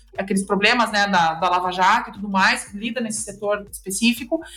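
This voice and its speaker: A woman with a Rio Grande do Sul accent speaks at a fairly high pitch with ordinary pitch variation. Noticeable background noise runs underneath. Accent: Rio Grande do Sul (gaúcho). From southern Brazil, interior of Rio Grande do Sul. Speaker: lawyer specializing in corporate restructuring. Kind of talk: podcast interview, explanatory.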